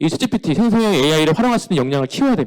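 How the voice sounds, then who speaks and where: A man talks with lively intonation. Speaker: company CEO giving a career seminar. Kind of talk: lecture. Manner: fast.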